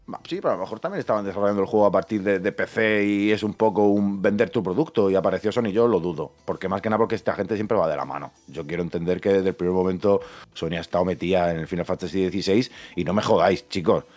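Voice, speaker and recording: A man at a very fast pace, fairly low in pitch, with ordinary pitch variation and faint music in the background. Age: 30s. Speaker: video game podcast co-host. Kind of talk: casual chat. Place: home room. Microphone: studio mic.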